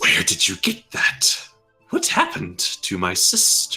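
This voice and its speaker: Putting on a character voice, a man speaks at a fairly slow pace with faint music in the background. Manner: demanding, accusatory.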